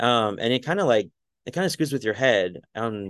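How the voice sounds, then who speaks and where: In an American accent, a man talks at a fairly quick pace with an unremarkable speaking voice at a medium pitch, against a quiet background. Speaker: mental health advocate. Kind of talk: casual interview.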